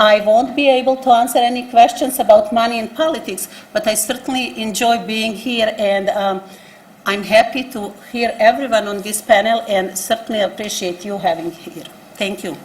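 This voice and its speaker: Amid noticeable background noise and audible room echo, a woman with a non-native accent and fairly high pitch speaks at a moderate pace, her loudness swinging widely and her pitch variation ordinary. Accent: foreign. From abroad, refugee from a one-party state. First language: not English. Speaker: nonprofit executive director. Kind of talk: panel statement. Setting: public forum at city hall with live audience.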